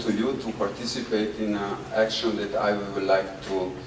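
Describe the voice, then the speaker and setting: Amid noticeable background noise and audible room echo, a man talks at a moderate pace in a fairly low, monotone, flat voice. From Italy. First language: Italian. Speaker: performance artist. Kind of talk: public talk to audience. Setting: outdoors in the sun. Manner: halting, many fillers.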